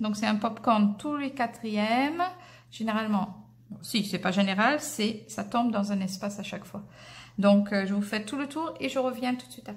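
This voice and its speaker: A woman speaks at a moderate pace with a slight English accent. Her fairly high voice is somewhat breathy, with ordinary pitch variation. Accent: slight English-speaker accent in French. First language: English (speaking French). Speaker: crochet teacher. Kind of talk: tutorial. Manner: hesitant, many filler sounds.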